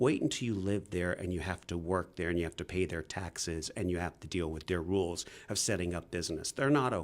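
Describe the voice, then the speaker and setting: A man with an American accent and a very deep, low pitch, his pitch varying in an ordinary way, on a very clean recording with a silent background. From England. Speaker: tech author. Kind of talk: interview. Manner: animated.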